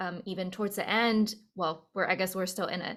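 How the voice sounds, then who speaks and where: The recording is very clean with a silent background. A woman with a normal speaking voice talks at medium pitch with fairly even intonation. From China, Beijing; moved to US at 12. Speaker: opera singer. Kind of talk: casual interview chat.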